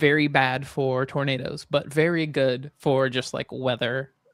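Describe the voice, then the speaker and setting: The voice is monotone and flat, with a Southern US accent. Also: man. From Alabama, Huntsville. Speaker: podcast co-host. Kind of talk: casual chat.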